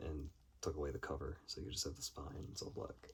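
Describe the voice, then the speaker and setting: Speaking at a fairly quick pace, the man has a dark, mellow tone and vocal fry. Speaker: film collector video creator. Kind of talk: casual haul video monologue. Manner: halting with many fillers.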